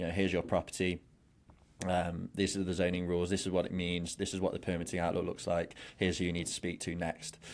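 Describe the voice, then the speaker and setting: In a very clean recording with a silent background, a man with an English accent speaks in a very deep, low pitch and a monotone, flat intonation. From England. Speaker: glamping business founder. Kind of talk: interview. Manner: halting with repetitions; fast.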